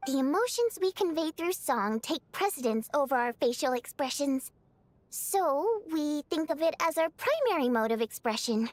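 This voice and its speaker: A put-on character voice, female-sounding with a bubbly tone and high pitch, moves along at a moderate pace. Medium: video game. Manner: bubbly, expressive.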